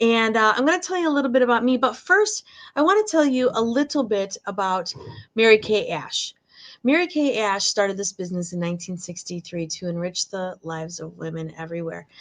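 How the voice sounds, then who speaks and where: At a fairly quick pace, a woman with a Michigan accent speaks at a fairly high pitch with very wide pitch swings. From Michigan, near Detroit. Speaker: direct sales director. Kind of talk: live sales presentation. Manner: casual, chatty with fillers.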